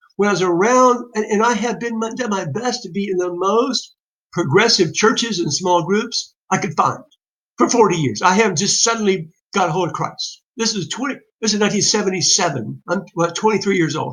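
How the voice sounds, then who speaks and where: A man with a high pitch talks at a fairly quick pace, with ordinary pitch variation. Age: 60s. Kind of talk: monologue. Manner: halting, many repetitions.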